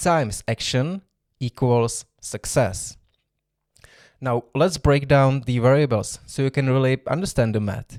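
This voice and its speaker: Over a very clean recording with a silent background, a man with a non-native accent speaks at medium pitch with ordinary pitch variation, taking long, frequent pauses in a dry, close sound with no echo. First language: not English. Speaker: self-development podcaster. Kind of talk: solo podcast monologue.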